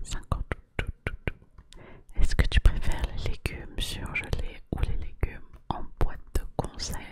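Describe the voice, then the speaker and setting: Whispering at a very slow pace, the voice comes through noticeable background noise. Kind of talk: ASMR whisper quiz addressed to the viewer. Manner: whispered, soft, relaxing.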